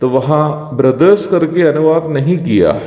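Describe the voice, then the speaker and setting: A man with a Malayalam accent speaks at a fairly high pitch with ordinary pitch variation over noticeable background noise. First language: Malayalam (speaking Hindi). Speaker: evangelist, Bible teacher. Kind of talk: devotional Bible teaching. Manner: formal.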